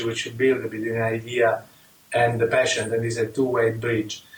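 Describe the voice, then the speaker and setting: A man with an Italian accent and a medium pitch, at a moderate pace over noticeable background noise. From Italy. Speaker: rheumatologist and immunologist. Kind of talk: interview. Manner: halting, many fillers.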